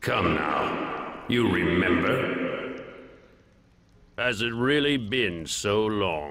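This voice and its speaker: A man uses a put-on character voice, pitched fairly low, and speaks at a very slow pace. Strong echo surrounds his words. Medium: game stream. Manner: smooth, menacing.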